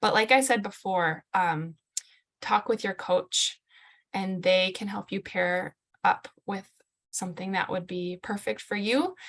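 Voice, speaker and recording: In a normal speaking voice, a woman talks at a fairly slow pace, with a medium pitch and ordinary pitch variation. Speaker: fitness coach. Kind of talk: group video call presentation.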